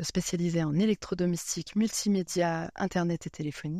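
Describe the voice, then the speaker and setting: A woman speaks at a fairly slow pace in a dark, mellow tone with a fairly low pitch. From eastern France. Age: 30s. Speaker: career changer into software testing. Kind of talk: podcast interview. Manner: hesitant, many fillers.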